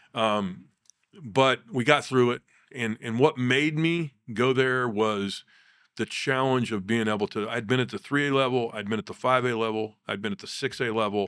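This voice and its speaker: With a Midwestern US accent, a man speaks at medium pitch and a moderate pace with ordinary pitch variation, recorded very cleanly against a silent background in a dry, close sound with no echo. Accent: US Midwest. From Kansas. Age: 60s. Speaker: basketball coach. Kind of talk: interview, life story.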